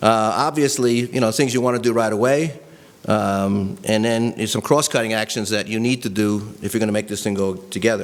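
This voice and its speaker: A man speaks very fast at a medium pitch, with ordinary pitch variation. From New York. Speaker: policy advocate, presenter. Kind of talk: presentation to a training audience. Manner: casual, conversational.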